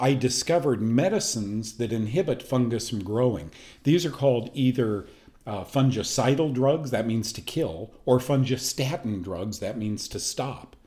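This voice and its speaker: A man with an American accent at medium pitch, in a dark, mellow tone, with lively intonation at a moderate pace. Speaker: health show host. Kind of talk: personal testimony. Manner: casual, with frequent fillers.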